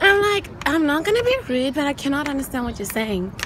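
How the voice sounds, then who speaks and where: Noticeable background noise accompanies a woman with an extremely high voice, her pitch swinging very widely, in a dry recording with no echo. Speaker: travel vlogger. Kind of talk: casual vlog chat. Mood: amused, storytelling, slightly exasperated. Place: street. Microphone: phone near.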